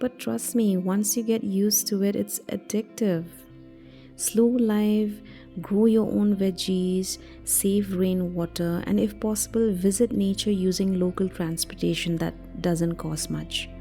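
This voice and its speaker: Music sits behind a woman who speaks at a fairly slow pace. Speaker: podcast host. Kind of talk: motivational self-help podcast talk. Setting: home recording. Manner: sleepy.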